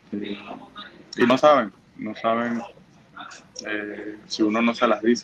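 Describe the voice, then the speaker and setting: Through noticeable background noise, a man speaks at a medium pitch in a monotone, flat way, at a very slow pace with long, frequent pauses. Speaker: professional baseball pitcher. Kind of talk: interview. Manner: halting, many fillers and repetitions.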